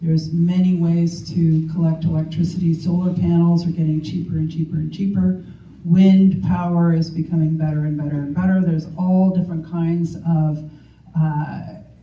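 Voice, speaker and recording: A woman speaks at a moderate pace with a fairly low pitch and monotone, flat intonation. Audible room echo and noticeable background noise fill the recording. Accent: Canadian. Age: 60s. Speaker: political candidate. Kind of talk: candidates' debate speech. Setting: public forum in a legion hall.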